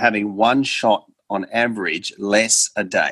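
A man with an Australian accent. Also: dry, close sound with no echo. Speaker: golf coach. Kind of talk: interview.

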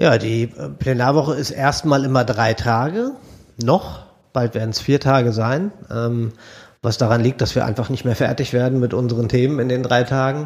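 On a very clean recording with a silent background, a man at a medium pitch talks at a moderate pace with fairly even intonation. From Bielefeld, East Westphalia, Germany. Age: 40s. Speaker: state politician. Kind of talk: interview about political work. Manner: hesitant, many fillers.

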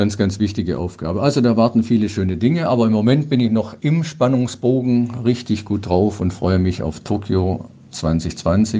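This man has a plain, everyday voice with fairly low pitch. He moves at a moderate pace with lively intonation. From Ruhr area, western Germany (Dortmund). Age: 60s. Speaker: para-cycling athlete. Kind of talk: interview.

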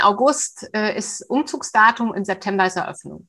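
A woman talks at a medium pitch against a quiet background. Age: 50s. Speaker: coach for eating disorders. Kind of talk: interview.

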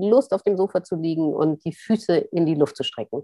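Here a woman speaks with a plain, everyday voice, fairly low in pitch. Her intonation is lively. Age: 40s. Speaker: author and journalist. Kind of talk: interview. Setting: video call.

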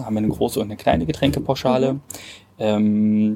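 Speaking at a fairly quick pace, a man has a dark, mellow tone. His pitch varies in an ordinary way. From Brandenburg, Cottbus (eastern Germany). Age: 20s. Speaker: hotel director. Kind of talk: interview. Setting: outdoors. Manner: hesitant, many fillers.

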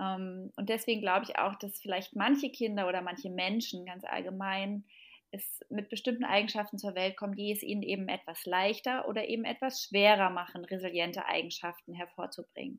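An unremarkable speaking voice with fairly even intonation moves at a fairly quick pace. The recording is very clean, with a silent background. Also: woman, medium pitch for a woman. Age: 30s. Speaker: parenting expert and mother. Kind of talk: podcast interview.

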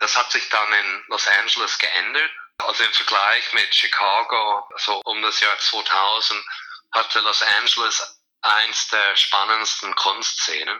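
A man speaks at a very slow pace with very even loudness. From USA, born in Zurich. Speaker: art fair director. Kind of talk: interview.

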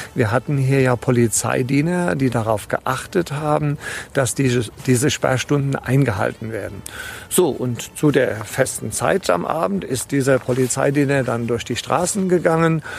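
A man talks at a moderate pace and medium pitch with ordinary pitch variation. Noticeable background noise runs underneath. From Rheingau, Hesse. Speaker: tour guide. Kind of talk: interview. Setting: outdoors on a hiking trail.

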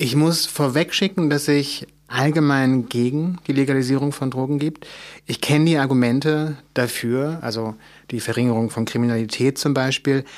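With a normal speaking voice, this man talks in a fairly high pitch and fairly even intonation. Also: moderate pace. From Mecklenburg, eastern Germany. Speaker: author. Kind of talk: interview.

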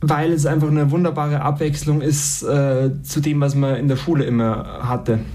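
With hardly any pauses, the speech stays monotone and flat at a very even loudness, with audible room echo and noticeable background noise. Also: man, fairly high pitch for a man, moderate pace. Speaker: university student. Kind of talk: interview.

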